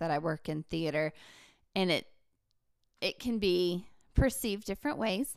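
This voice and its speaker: In an Appalachian accent, a woman of medium pitch speaks with lively intonation on a very clean recording with a silent background. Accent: Appalachian Southern US. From Appalachia, western North Carolina. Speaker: theater educator and author. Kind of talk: casual interview.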